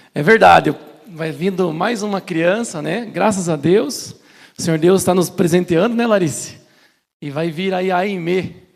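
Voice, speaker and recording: Ordinary pitch variation marks a man's high pitch as he speaks at a fairly slow pace. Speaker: preacher. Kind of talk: sermon. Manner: deliberately slowed.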